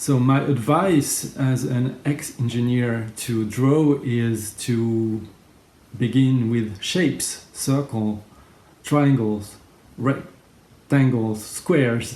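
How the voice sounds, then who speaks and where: In a French accent, a man at medium pitch talks at a very slow pace with ordinary pitch variation. His tone is dark and mellow, and the room echo is audible. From France. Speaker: graphic facilitator. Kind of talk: tutorial.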